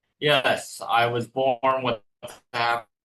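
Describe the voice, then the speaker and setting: A man speaks at a medium pitch with a Californian accent. His tone is bright and sharp, his intonation monotone and flat. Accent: General American (Californian). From Northern California, San Jose. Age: 30s. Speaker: author. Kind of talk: interview. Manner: halting.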